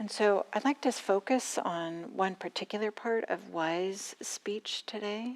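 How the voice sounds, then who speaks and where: A woman in a normal speaking voice talks at a fairly slow pace with hardly any pauses, medium pitch and ordinary pitch variation, the sound dry and close with no echo. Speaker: meditation teacher. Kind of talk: dharma talk to a live audience. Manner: conversational, unhurried.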